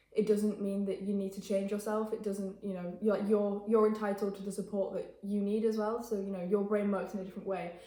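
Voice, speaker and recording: In a room with audible echo and noticeable background noise, a woman with an English accent speaks at a fairly quick pace with hardly any pauses, using a medium pitch and monotone, flat intonation. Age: young. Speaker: interviewee, student mental health campaigner. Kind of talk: interview. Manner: fast; hesitant with fillers.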